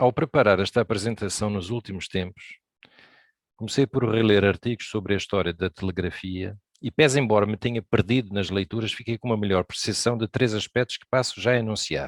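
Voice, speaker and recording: A man talks at a fairly quick pace with ordinary pitch variation and a fairly low pitch. The sound is dry and close, with no echo. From Brazil. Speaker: amateur radio operator, presenter. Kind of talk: presentation talk.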